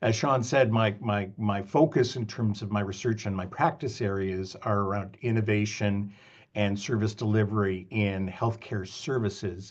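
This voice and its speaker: With a Canadian accent, a man speaks at a fairly low pitch and moderate pace. His pitch variation is ordinary, and the background is quiet. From Canada. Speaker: business school professor. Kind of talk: lecture. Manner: halting, many fillers.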